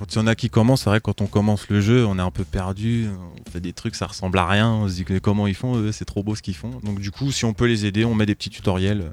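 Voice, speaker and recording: Very fast talk from a man, fairly low in pitch, with fairly even intonation. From France, Troyes. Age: 20s. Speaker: tabletop gaming club member. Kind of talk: casual chat. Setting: studio.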